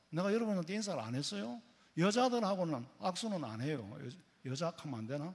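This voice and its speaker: A man talks at a fairly quick pace with a Gyeongsang accent. His pitch swings very widely. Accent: Gyeongsang dialect, noticeable. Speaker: pastor. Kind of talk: sermon. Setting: church. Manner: casual, conversational with humor.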